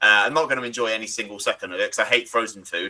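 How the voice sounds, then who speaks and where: Speaking at a fairly quick pace with an English accent, a man uses a medium pitch and a bright, sharp tone. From England. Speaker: panel show host. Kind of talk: casual chat. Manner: animated.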